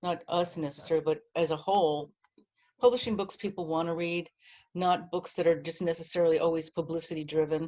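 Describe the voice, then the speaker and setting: Fairly low in pitch, a woman in an American accent talks at a fairly quick pace in an ordinary speaking voice. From New Jersey. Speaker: publishing marketing director. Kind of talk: interview.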